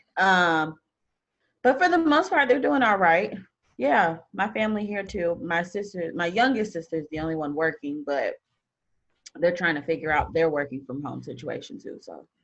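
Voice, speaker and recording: Using lively intonation, a woman with a plain, everyday voice speaks in an American accent. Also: fairly low pitch for a woman, moderate pace, big swings in loudness. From St. Louis, Missouri. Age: 20s. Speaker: blogger and podcaster. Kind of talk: casual chat.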